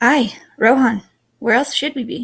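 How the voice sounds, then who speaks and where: Putting on a gruff character voice, a woman speaks at a high pitch and a moderate pace. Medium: read story.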